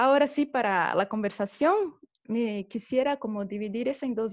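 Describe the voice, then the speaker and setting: Here a woman speaks at a fairly high pitch with ordinary pitch variation. Her pace is moderate. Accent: Brazilian. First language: Portuguese (speaking Spanish). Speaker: theatre director and teacher. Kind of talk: talk in a video interview. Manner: halting.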